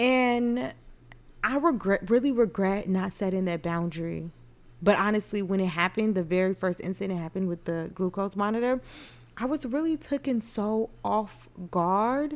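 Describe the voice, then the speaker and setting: Soft-spoken and at a moderate pace, a woman talks with lively intonation. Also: medium pitch for a woman. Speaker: podcast host and nurse. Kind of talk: casual monologue podcast.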